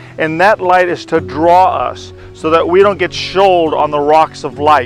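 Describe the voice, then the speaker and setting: With music in the background, a man talks at a fairly slow pace. His pitch is fairly high and his intonation lively. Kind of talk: devotional talk.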